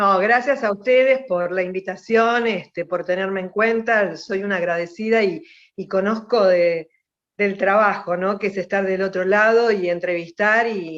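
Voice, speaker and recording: A woman in a plain, everyday voice speaks at a fairly slow pace, her medium pitch showing ordinary variation. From Buenos Aires, Argentina (Mataderos). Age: 60s. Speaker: politician and journalist. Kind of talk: radio interview.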